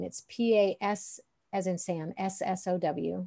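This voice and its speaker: Her voice is medium in pitch, and this woman shows ordinary pitch variation. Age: 50s. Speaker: songwriter and podcaster. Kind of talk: interview conversation. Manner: halting.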